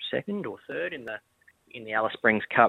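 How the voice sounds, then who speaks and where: Here a man speaks with an Australian accent. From Adelaide, South Australia. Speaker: racehorse trainer. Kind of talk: casual interview.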